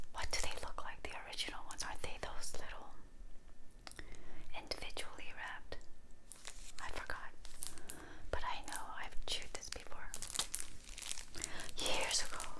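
A woman talks at a moderate pace, leaving long, frequent pauses, while noticeable background noise runs underneath. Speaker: ASMR gum chewing creator. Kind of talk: casual whispered ramble to camera. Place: home room. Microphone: lapel.

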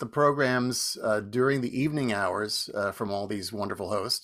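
Over a quiet background, a man speaks with lively intonation. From New Jersey. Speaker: folk radio host. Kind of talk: casual chat. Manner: halting.

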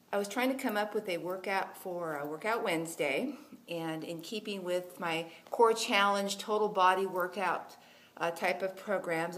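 Here a woman speaks at a fairly slow pace. Her pitch varies in an ordinary way. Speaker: fitness blogger, cross country coach. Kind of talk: casual vlog chat. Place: gym. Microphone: phone near.

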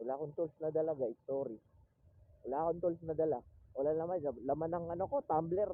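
A man's fairly high-pitched voice with ordinary pitch variation, very fast in pace yet broken by long, frequent pauses. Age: 20s. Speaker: motovlogger. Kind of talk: casual vlog narration. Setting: riding a motorcycle outdoors. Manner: loud; talkative. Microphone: phone mic.

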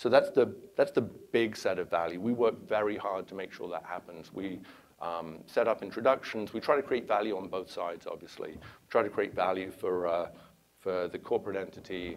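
A man with a London accent talks at a moderate pace with big swings in loudness over light background noise. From England, London. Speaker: venture capitalist. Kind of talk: conference talk. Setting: stage with audience. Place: hall. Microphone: lapel.

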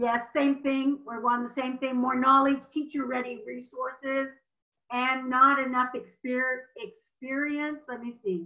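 Against a quiet background, a woman with a high voice speaks at a fairly slow pace in a monotone, flat delivery. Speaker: webinar moderator. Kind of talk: webinar moderation. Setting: video call. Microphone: video call.

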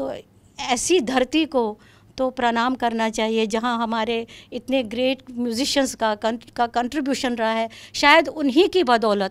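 A woman's high-pitched voice at a very slow pace, with ordinary pitch variation. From Kashmir, Srinagar; Kashmir. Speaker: classical vocalist, retired music professor; retired music professor. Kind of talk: interview. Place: studio. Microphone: handheld.

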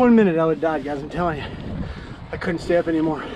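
A man's fast, fairly high-pitched voice with a dark, mellow tone and lively intonation, over faint background noise.

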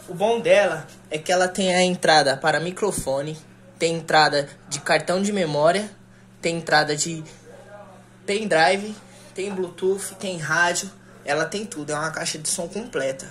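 A woman speaks at a fairly slow pace, her fairly low voice showing ordinary pitch variation. She leaves long, frequent pauses over light background noise. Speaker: product demonstrator. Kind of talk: casual product unboxing tutorial. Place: home room. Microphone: phone near.

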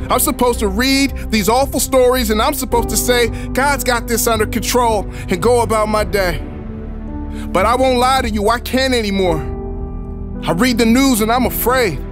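A man at a moderate pace, his loudness very even, the sound dry with no echo, with clear music in the background. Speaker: spoken word poet. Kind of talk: spoken word poetry performance. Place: studio.

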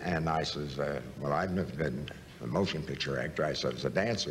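A man with an American accent speaks at a very deep, low pitch with ordinary pitch variation. His pace is fairly quick, with light background noise. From United States. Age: 80s+. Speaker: actor. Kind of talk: interview answer. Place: studio.

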